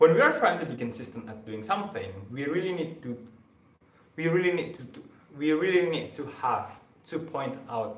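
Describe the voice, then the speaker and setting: A man with a non-native accent speaks in a fairly high pitch at a moderate pace, with lively intonation, big swings in loudness and long, frequent pauses. Audible room echo and noticeable background noise fill the recording. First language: not English. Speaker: self-improvement live streamer. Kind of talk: rehearsed motivational talk on live stream. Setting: live stream. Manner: stuttering, halting.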